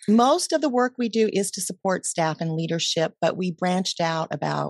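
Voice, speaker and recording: Recorded with a dry, close sound and no echo, a woman speaks at a moderate pace in a normal speaking voice. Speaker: mindfulness coach and podcaster. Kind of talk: interview conversation.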